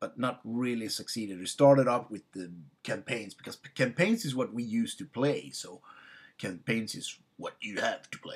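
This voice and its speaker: In a very clean recording with a silent background, a man with a Swedish accent talks at a moderate pace, his loudness swinging widely. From Sweden. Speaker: tabletop game master vlogger. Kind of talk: casual personal introduction. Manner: halting, many fillers.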